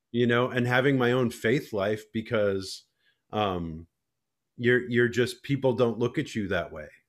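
A man with an American accent speaks at a fairly slow pace in a medium pitch with ordinary pitch variation, on a very clean recording with a silent background. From Minnesota, Alexandria. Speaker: choral conductor and composer. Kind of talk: casual interview chat.

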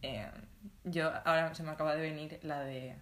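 A woman with a bright, sharp tone is heard with audible room echo. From Spain, Alicante province (small town). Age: 20s. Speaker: podcast co-host, design student. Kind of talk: casual chat.

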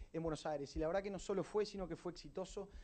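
The pitch varies in an ordinary way. The pace is very fast. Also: man. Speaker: event and podcast host. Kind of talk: event introduction. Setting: stage with audience.

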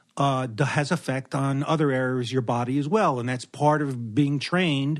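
A normal speaking voice from a man, fairly high in pitch, at a moderate pace over a quiet background. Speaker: anesthesiologist. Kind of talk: casual chat. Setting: at home.

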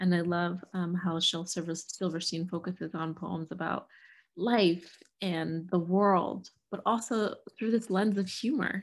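This woman has an unremarkable speaking voice with a fairly low pitch. She talks fairly slowly with fairly even intonation. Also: very clean recording, silent background. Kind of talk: poetry reading.

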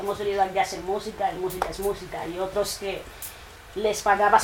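Noticeable background noise is present. The speaker is a woman. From Equatorial Guinea. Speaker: trap musician. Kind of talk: casual interview.

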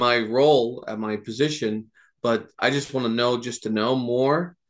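A man with an American accent talks in a plain, everyday voice with fairly even intonation. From New Jersey. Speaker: nonprofit board member. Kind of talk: interview.

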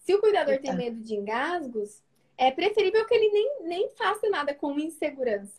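Extremely high female voice at a moderate pace, with very wide pitch swings. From rural Brazil. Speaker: nutritionist running a mentoring program. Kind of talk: live video interview.

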